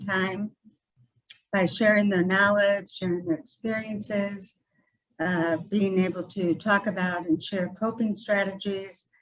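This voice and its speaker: A woman's somewhat breathy, medium-pitched voice, fairly slow and flat in a monotone. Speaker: mental health support group speaker. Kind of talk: presentation at a community meeting. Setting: meeting room with microphone. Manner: soft-spoken.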